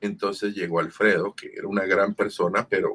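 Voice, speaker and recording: A man is speaking. His pace is moderate. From Sonora, Mexico. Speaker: voice actor. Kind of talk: interview answer. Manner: casual storytelling.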